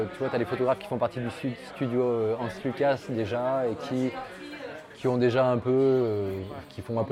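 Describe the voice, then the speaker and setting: A man speaks at a moderate pace and medium pitch with ordinary pitch variation, crowd noise audible behind him. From France, Lyon area. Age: 40s. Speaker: portrait photographer. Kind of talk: casual interview. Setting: bar.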